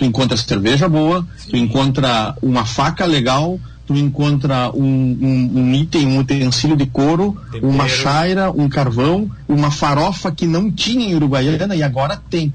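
Against noticeable background noise and audible room echo, a man talks at a moderate pace with a fairly high pitch and ordinary pitch variation. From Brazil, Rio Grande do Sul border region. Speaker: veterinarian and beef marketing consultant. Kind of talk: radio panel discussion.

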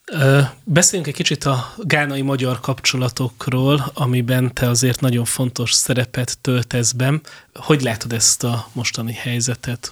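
Here is a man with a normal speaking voice and a medium pitch, going at a fairly slow pace. His intonation stays fairly even, and he leaves hardly any pauses. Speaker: radio host. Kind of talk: interview. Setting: studio.

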